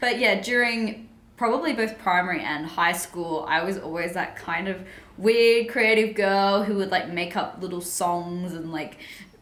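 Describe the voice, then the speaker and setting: A woman with an Australian accent at a moderate pace, with audible room echo and noticeable background noise. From Sydney, Australia. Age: 20s. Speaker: self-development coach and author. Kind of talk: personal story vlog. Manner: casual, chatty with fillers.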